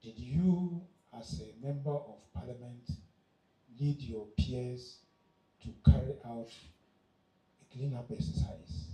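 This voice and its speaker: The voice is somewhat breathy with a dark, mellow tone, very wide pitch swings and big swings in loudness. It moves at a very slow pace with long, frequent pauses, amid audible room echo. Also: man, medium pitch for a man. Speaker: conference speaker. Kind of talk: speech to youth audience. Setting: conference hall with audience.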